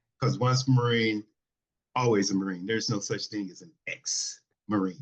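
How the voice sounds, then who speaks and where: Medium-pitched male speech at a moderate pace, with ordinary pitch variation and big swings in loudness. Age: 50s. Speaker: Marine veteran and software developer. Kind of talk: casual chat. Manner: halting.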